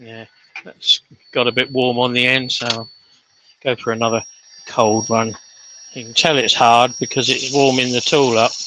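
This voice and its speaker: A man with a strong Sussex accent speaks at a medium pitch and moderate pace, with monotone, flat intonation, big swings in loudness and long, frequent pauses. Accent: broad Sussex. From Sussex, England. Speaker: woodturner. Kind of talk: live demonstration tutorial. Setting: workshop.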